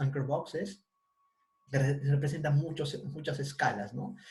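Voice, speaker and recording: Somewhat breathy and dark, mellow in tone, a man with a fairly high pitch speaks at a fairly slow pace. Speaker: university lecturer. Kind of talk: online lecture.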